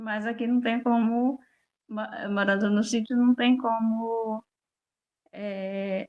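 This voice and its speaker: A woman with a fairly high pitch talks at a very slow pace in a monotone, flat intonation, leaving long, frequent pauses. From Brazil, Bahia (rural interior). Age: 60s. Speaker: farmer and interviewee. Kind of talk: interview.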